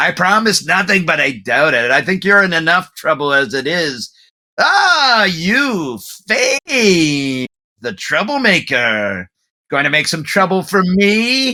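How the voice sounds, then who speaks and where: A man puts on a character voice, pitched high and delivered at a fairly slow pace. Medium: actual play. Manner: taunting, theatrical.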